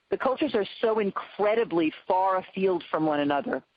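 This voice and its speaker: A woman speaks in a normal speaking voice. Her intonation is lively. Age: 60s. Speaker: pediatrician and nonprofit leader. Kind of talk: webinar panel discussion. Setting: webinar.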